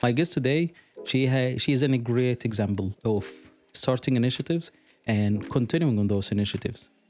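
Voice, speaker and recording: Speech with an Arabic accent, very even loudness and ordinary pitch variation at a fairly quick pace, with music in the background. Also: man, medium pitch for a man. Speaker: podcast host, UX designer. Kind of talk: interview podcast. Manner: halting, many fillers.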